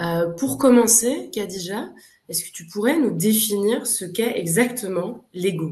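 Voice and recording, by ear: A woman talks at a fairly slow pace with medium pitch, lively intonation and a slightly mellow tone.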